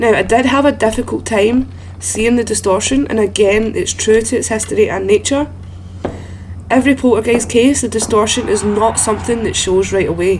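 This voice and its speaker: Speaking in a Scottish accent, a woman keeps a moderate pace. Noticeable background noise is present. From Scotland. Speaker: gaming content creator. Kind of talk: video game guide commentary. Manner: soft-spoken.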